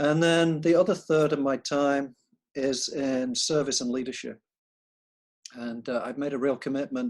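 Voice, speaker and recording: This man has a northern English accent. His pitch is fairly high. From northern England. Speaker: architect and professor. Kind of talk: interview.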